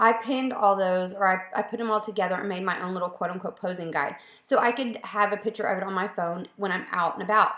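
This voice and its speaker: A woman's very fast delivery with hardly any pauses, fairly even intonation and audible room echo. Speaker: photographer. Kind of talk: casual Q&A video. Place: home room. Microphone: webcam.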